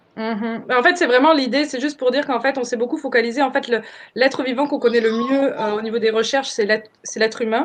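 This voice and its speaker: This woman has a high-pitched voice. She talks very fast. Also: fairly even intonation. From France. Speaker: permaculture trainer. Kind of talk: webinar presentation. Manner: halting, many fillers.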